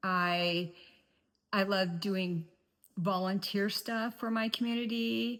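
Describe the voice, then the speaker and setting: Long, frequent pauses break up delivery that moves at a very slow pace. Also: woman, medium pitch for a woman, ordinary pitch variation. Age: 50s. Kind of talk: casual talk to camera.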